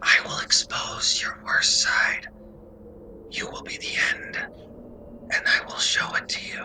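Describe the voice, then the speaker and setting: A whispering, put-on character voice at a fairly slow pace, with faint music in the background. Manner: menacing.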